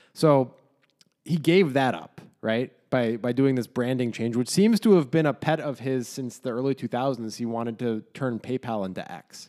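A man with an American accent speaks at a moderate pace in a medium pitch, his dark, mellow tone showing ordinary pitch variation. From United States. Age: 30s. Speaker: podcast co-host. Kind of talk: casual chat.

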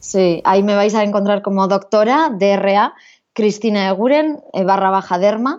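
In an ordinary speaking voice, the speaker goes at a fairly slow pace with ordinary pitch variation and very even loudness. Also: woman, medium pitch for a woman. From Basque Country, Spain (San Sebastián). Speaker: dermatologist. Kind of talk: interview.

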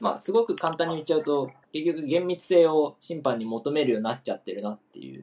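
Very fast, with hardly any pauses, a man with a fairly high pitch speaks with lively intonation. His loudness swings a lot. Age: 20s. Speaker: football talk show co-host. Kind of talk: casual chat.

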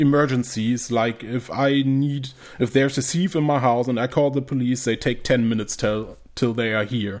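A man's medium-pitched voice with a German accent and fairly even intonation. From northern Germany, rural. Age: 20s. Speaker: YouTube creator, survivalist. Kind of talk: casual chat.

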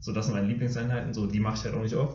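The recording has audible room echo. A man speaks at a medium pitch, somewhat breathy. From Germany, Dortmund. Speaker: middle-distance runner, podcast co-host. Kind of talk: casual chat.

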